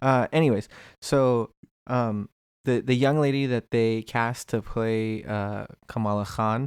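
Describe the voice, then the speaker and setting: In a very clean recording with a silent background, a man talks at a fairly slow pace. He has an unremarkable speaking voice at a medium pitch. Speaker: podcast co-host. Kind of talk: casual chat.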